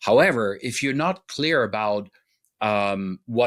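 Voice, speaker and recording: A man with a German accent speaks at a very slow pace. The recording is very clean, with a silent background. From Germany. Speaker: relationship expert. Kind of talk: interview podcast.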